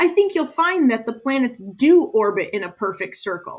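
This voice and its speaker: In a put-on character voice, a woman speaks high with very wide pitch swings. Her pace is moderate. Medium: read story. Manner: loud, pompous.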